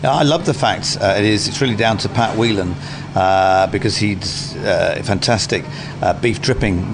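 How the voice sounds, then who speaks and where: A man talks at a moderate speed, his pitch varying in an ordinary way, while noticeable noise sits in the background. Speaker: food critic and head judge. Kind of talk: radio interview.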